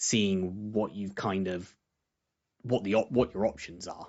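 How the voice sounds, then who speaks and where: The speaker is quiet and talks at a moderate pace. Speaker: game commentator. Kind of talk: live commentary.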